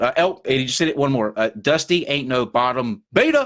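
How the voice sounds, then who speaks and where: Speaking at a moderate pace with lively intonation in a Southern US accent, the voice comes through on a very clean recording with a silent background. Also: man. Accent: Southern US twang. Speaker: podcast host. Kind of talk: casual chat. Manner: halting, many fillers.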